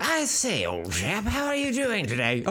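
The speaker uses a put-on character voice. Clear background noise can be heard. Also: moderate pace. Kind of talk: posh, old-fashioned.

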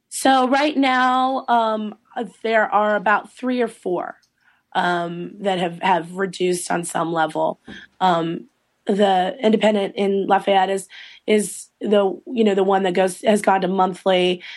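A woman with an American accent at a medium pitch, a very slow pace and ordinary pitch variation, against a quiet background. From Eastern North Carolina. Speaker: trade association executive director. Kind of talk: interview. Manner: many fillers and restarts.

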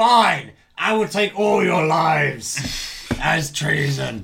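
A man speaks in a raspy, put-on character voice at a very slow pace. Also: fairly high pitch for a man. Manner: angry, menacing.

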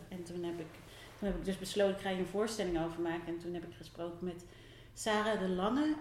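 Her voice rings with audible room echo. A woman talks here. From Netherlands, near Rotterdam. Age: 40s. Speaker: theatre maker. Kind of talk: interview. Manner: halting.

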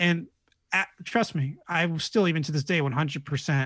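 At a moderate pace, a man with an American accent speaks in a somewhat breathy voice with ordinary pitch variation over a quiet background. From New York State. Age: 30s. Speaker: podcaster and meditation leader. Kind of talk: casual chat.

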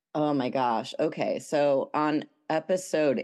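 A woman speaks over a quiet background. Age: 30s. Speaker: poet and musician. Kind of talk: casual interview chat.

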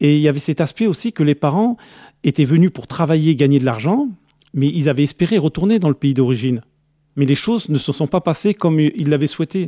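A man talks fairly quickly with lively intonation and a fairly high pitch, his tone dark and mellow, in a dry, close sound with no echo on a very clean recording with a silent background. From France, Algerian family, grew up in the suburbs. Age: 50s. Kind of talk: testimony. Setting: radio studio.

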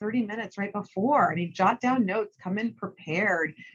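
Somewhat breathy, a woman with a medium pitch speaks with lively intonation. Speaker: sports media executive. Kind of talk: interview conversation. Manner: fast talker.

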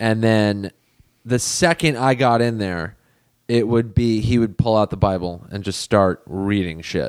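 A man's unremarkable speaking voice with an American accent, fairly low in pitch and fairly slow in pace, in a dry, close sound with no echo. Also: ordinary pitch variation. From Los Angeles, US. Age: 30s. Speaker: comedian. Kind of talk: casual chat.

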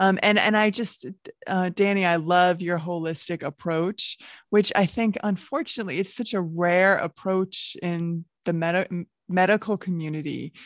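A woman's medium-pitched, normal speaking voice, dry and close with no echo, with fairly even intonation at a moderate pace over a quiet background. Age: 50s. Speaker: podcast host, health coach. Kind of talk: podcast interview.

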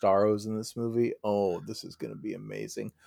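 An ordinary speaking voice comes at a moderate pace with fairly even intonation, on a very clean recording with a silent background. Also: man. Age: 40s. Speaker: sports podcast co-host. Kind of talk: casual chat.

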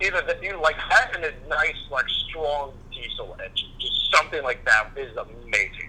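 With an American accent, a man talks with hardly any pauses over noticeable background noise. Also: moderate pace. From US South, Louisiana. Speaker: guest, friend of host. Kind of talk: casual chat.

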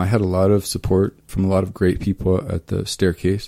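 The voice has a Midwestern American accent and a dark, mellow tone. It moves at a fairly quick pace. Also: man. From eastern Kansas. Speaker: archaeologist. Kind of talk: interview. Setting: radio studio.

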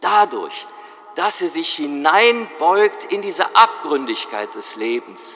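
A man's voice over noticeable background noise. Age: 60s. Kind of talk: sermon.

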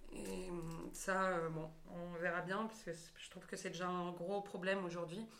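Over noticeable background noise and audible room echo, a woman talks fairly slowly in a fairly low, flat, monotone voice. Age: 20s. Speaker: stage actress. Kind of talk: casual chat.

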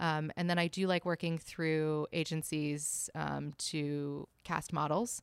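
A woman's very deep, low voice, very slow and flat in intonation, even in loudness with hardly any pauses, dry and close with no echo on a very clean recording with a silent background. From Hong Kong. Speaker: fashion photographer. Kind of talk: casual interview.

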